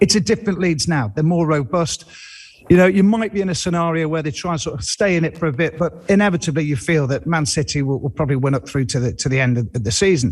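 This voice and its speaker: The speaker goes at a very fast pace with lively intonation, against noticeable background noise. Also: man, fairly high pitch for a man. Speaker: football pundit. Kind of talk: studio discussion. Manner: halting, with restarts.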